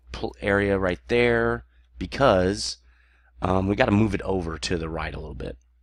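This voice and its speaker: Lively intonation carries the moderate pace in a very clean recording with a silent background. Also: man. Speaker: gaming let's play creator. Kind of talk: gameplay commentary. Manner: casual, halting with fillers.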